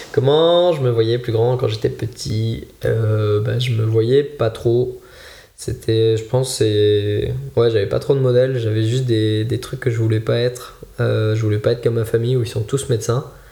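Noticeable background noise fills the clip. A man speaks at a fairly slow pace. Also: medium pitch for a man, fairly even intonation. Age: 20s. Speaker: ultimate frisbee coach. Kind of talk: casual chat.

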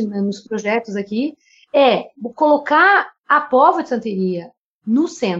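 A woman's fairly high-pitched, an ordinary speaking voice with lively intonation. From Brazil, Rio Grande do Sul. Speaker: podcast co-host, theatre artist. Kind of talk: casual chat.

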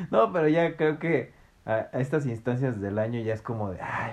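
Someone with a Mexican accent speaks at a moderate pace with ordinary pitch variation. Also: man. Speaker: podcast host. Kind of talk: casual chat.

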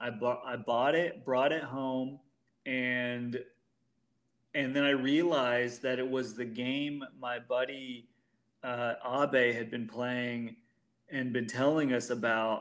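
With an American accent, a man speaks at a very slow pace in a medium pitch with monotone, flat intonation. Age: 30s. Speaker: comedian. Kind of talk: casual chat.

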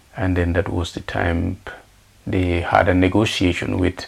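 With a very deep, low pitch, a man speaks at a fairly slow pace. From Senegambia (Gambia/Senegal). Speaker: refugee activist and photographer. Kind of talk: interview. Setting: shared office studio. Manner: halting, many fillers.

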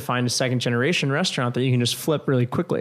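In a normal speaking voice, a man with a medium pitch talks at a fairly quick pace with fairly even intonation. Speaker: restaurant co-founder. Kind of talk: casual interview.

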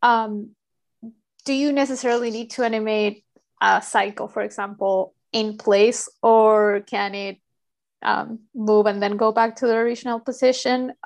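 Her pitch sits fairly high for a woman. She keeps a fairly even intonation over a quiet background. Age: 30s. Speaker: podcast host. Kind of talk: interview.

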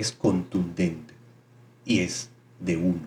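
With a very deep, low pitch, the man speaks with ordinary pitch variation. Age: 30s. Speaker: spiritual podcast host. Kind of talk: spiritual monologue.

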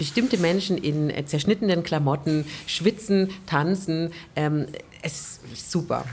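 Noticeable background noise sits behind a woman speaking fairly slowly. Her pitch is fairly low, with ordinary variation. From Stuttgart, Germany. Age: 40s. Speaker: jazz singer and vocal teacher. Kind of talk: casual interview. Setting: covered terrace outdoors, raining.

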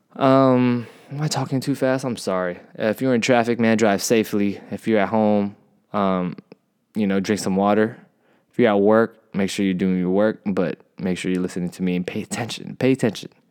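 A man's fairly low voice in an American accent, with ordinary pitch variation and a moderate pace. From San Diego, Southern California. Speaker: podcast host. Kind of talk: casual solo podcast talk. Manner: hesitant, many fillers.

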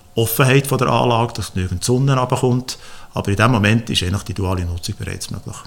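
Somewhat breathy, this man speaks at a very fast pace. His pitch moves with ordinary variation. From Switzerland, Frutigen (Bernese Oberland). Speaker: agronomist and entrepreneur. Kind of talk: interview.

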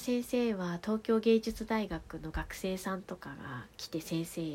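With lively intonation, a woman talks at medium pitch in an unremarkable speaking voice. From Tohoku, Japan (Fukushima, then Aomori). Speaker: podcast storyteller. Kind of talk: bedtime monologue. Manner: soft-spoken; calm, relaxed.

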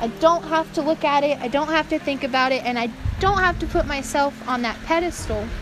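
Noticeable background noise runs under a fairly quick voice in an American accent with ordinary pitch variation. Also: woman, high pitch for a woman. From North Carolina. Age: 20s. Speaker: podcast host. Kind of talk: casual monologue. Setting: cellar of an abandoned prairie home.

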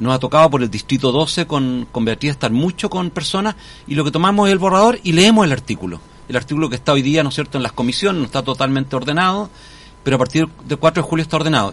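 Lively intonation marks this man's very fast delivery. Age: 60s. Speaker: constitutional convention delegate. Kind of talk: radio interview. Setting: radio studio.

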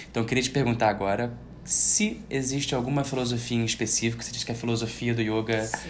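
A man speaks at a fairly quick pace in a medium pitch, with monotone, flat intonation. Noticeable background noise and audible room echo are present. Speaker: podcast host and yoga teacher. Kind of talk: casual interview chat. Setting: yoga studio, Instagram live.

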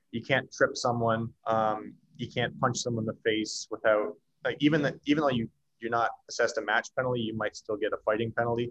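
A man talks at a fairly quick pace and medium pitch with a slight Canadian accent. The sound is dry and close with no echo. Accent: Canadian, slight after years in US. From Canada. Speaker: former pro hockey player. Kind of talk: casual interview.

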